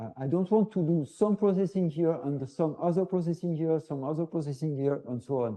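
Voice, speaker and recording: A man speaks at a fairly high pitch with a dark, mellow tone. The background is quiet. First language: French. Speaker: professor. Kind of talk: lecture. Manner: halting, many fillers.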